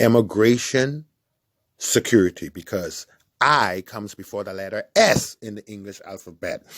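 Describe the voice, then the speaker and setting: Here a man with a Bahamian accent and a fairly low pitch speaks at a moderate pace in an animated tone, with ordinary pitch variation, in a dry, close sound with no echo on a very clean recording with a silent background. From Bahamas. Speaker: online commentator. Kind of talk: monologue.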